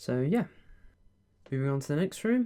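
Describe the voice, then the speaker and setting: A calm tone in a British accent. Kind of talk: ASMR roleplay as a friendly estate agent giving a house tour. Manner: friendly, calm, soft-spoken.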